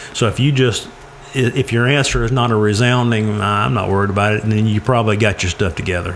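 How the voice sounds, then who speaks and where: A man talks at a fairly quick pace with ordinary pitch variation. Noticeable background noise is present. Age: 40s. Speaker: personal finance speaker. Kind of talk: casual chat.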